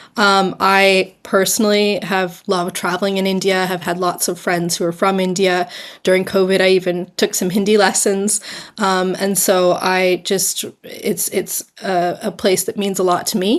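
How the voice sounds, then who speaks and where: A woman with an American accent and medium pitch speaks at a moderate pace in a monotone, flat voice, in a very clean recording with a silent background. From US, New York City. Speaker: fashion brand founder. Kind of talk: interview. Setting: podcast.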